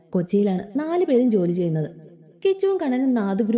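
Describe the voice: Someone is doing plain reading aloud.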